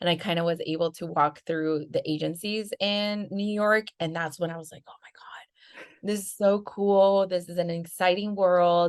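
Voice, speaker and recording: In a Spanish accent, a woman with fairly low pitch speaks at a moderate pace with hardly any pauses and big swings in loudness. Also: fairly even intonation. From Venezuela, Caracas. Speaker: marketing agency founder. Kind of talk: casual interview.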